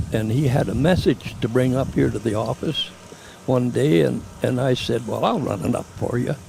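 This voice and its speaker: Lively intonation at a moderate pace with a western Canadian accent, over noticeable background noise. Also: man. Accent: rural western Canadian. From western Canada, Lloydminster area. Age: 90s. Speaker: parade marshal, cattleman. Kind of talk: interview recollection.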